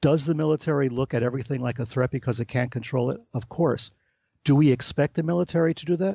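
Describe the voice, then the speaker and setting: At a very fast pace, a man with a fairly high pitch talks with ordinary pitch variation and a somewhat breathy quality. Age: 60s. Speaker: author and researcher on UFO phenomena. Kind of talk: interview conversation. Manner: animated.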